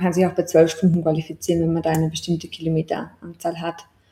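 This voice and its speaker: The speaker is a woman with a dark, mellow tone. Her voice is somewhat breathy. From Austria. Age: 20s. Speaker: ultramarathon runner. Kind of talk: casual chat.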